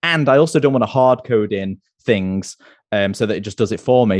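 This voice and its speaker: A man speaks in a plain, everyday voice at medium pitch. His pitch varies in an ordinary way, and the sound is dry and close with no echo. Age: 30s. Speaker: Android developer and YouTuber. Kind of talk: casual interview.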